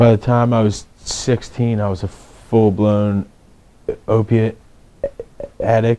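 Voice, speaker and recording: A man with a Philadelphia accent, medium-pitched and monotone, very slow, with long, frequent pauses. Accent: Philadelphia-area American. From Pennsylvania, Levittown. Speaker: person in addiction recovery. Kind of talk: testimony. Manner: halting.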